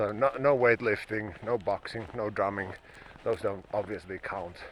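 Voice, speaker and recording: A man with a fairly low voice talks fairly slowly, with ordinary pitch variation, as noticeable background noise carries on. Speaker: fitness vlogger. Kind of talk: casual vlog monologue. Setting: outdoors.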